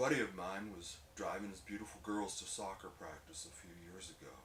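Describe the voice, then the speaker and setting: Using a normal speaking voice, a man at a fairly low pitch shows ordinary pitch variation and big swings in loudness. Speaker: strongman lifter. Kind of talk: spoken word monologue.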